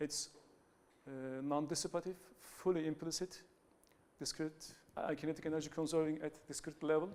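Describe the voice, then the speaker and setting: A man speaks with a Turkish accent at a fairly high pitch. His pace is moderate. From Turkey. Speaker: academic researcher. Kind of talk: conference talk. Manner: halting, many fillers and restarts.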